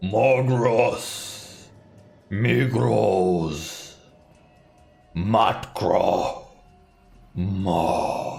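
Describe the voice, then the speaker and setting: Over music in the background and with audible echo, a man growls in a put-on character voice with a menacing tone and fairly low pitch. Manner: booming, menacing.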